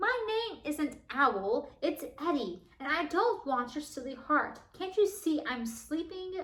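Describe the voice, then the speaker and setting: A woman growls in a put-on character voice pitched high. She talks at a fairly slow pace. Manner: growling, irritable.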